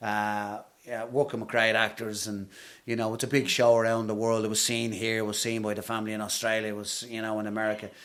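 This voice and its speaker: A man with an Irish accent talks at a very fast pace and medium pitch, his intonation monotone and flat. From Ireland, Dublin (Blackrock). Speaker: actor. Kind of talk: interview.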